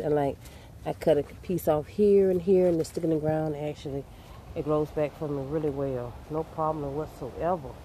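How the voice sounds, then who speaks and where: The pace is moderate, with light background noise. The sound is dry with no echo. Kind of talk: casual vlog chat. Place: garden. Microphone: phone near.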